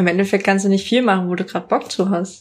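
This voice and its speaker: A woman speaks with monotone, flat intonation. The recording is very clean, with a silent background. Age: 20s. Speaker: university student. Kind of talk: interview answers. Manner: casual, colloquial.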